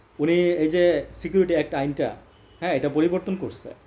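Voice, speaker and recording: A man's voice comes through with a fairly high pitch and a dark, mellow tone. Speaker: political commentator. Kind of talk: political monologue commentary. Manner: animated.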